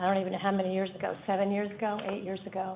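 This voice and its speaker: Her intonation monotone and flat, a woman talks at a medium pitch. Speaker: public commenter, community health worker. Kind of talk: public comment at board meeting.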